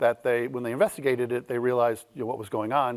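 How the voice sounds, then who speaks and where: A man's medium-pitched voice, dry and close with no echo, on a very clean recording with a silent background. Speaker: keynote speaker, data strategy consultant and author. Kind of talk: keynote talk. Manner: fast.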